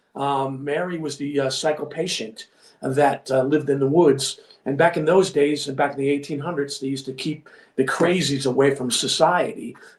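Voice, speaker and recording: This man speaks in a Long Island accent at a moderate pace. His voice is fairly high, with fairly even intonation. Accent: New York (Long Island). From Long Island, New York. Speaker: filmmaker and actor. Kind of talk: casual chat.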